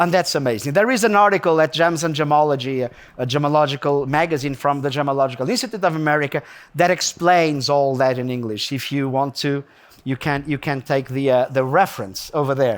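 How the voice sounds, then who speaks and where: With a Portuguese accent, a man talks at a fairly quick pace in an animated tone, his fairly high pitch showing ordinary variation. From Portugal. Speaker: gemmologist lecturer. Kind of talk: lecture. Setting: stage with audience. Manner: animated, conversational.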